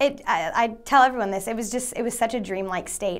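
The pace is fairly quick for this woman. Her pitch shows ordinary variation. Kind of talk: interview answer. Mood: upbeat, smiling. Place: studio. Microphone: lapel.

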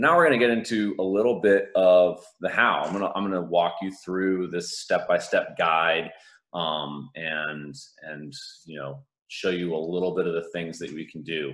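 The man's pitch is very deep and low, with ordinary variation. His loudness swings widely. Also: moderate pace, quiet background. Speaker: conference presenter. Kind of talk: conference talk. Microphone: video call.

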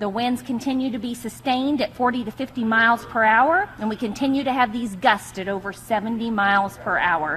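A woman talks at a moderate pace with hardly any pauses, in a fairly high pitch with ordinary pitch variation. Noticeable background noise is present. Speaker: fire official giving a briefing. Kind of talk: weather and fire-conditions report at an emergency press briefing. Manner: formal, steady and clear, urgent but controlled.

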